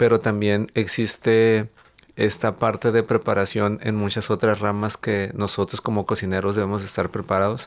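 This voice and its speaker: A fairly low male voice, monotone and flat, at a moderate pace. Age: 30s. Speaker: chef and entrepreneur. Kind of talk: interview conversation.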